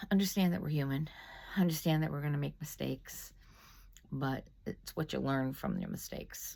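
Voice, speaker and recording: A woman with a very deep, low pitch and a dark, mellow tone, somewhat breathy, at a moderate pace with long, frequent pauses and ordinary pitch variation. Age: 60s. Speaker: lay faith video host. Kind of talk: casual reflection after scripture reading. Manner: hesitant, many fillers.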